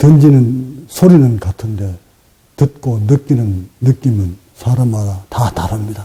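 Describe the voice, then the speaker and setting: A man with a strong Gyeongsang accent speaks at a very slow pace. His pitch sits at a medium level. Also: ordinary pitch variation. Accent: Gyeongsang dialect pronunciation, strong. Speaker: meditation teacher. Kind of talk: dharma talk. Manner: sometimes sharp, sometimes gentle.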